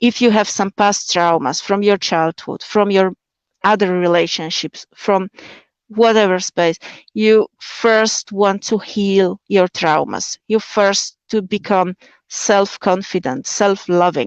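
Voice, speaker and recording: A woman's medium-pitched voice in a Slovak accent, very slow, with very even loudness and fairly even intonation. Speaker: convert sharing her marriage story. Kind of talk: interview on a live stream. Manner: halting, many fillers.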